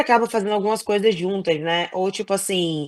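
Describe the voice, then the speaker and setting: Against a quiet background, a woman with an ordinary speaking voice talks fairly quickly at a medium pitch. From Brazil. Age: 30s. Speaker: professional basketball player. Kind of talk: casual chat. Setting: podcast interview.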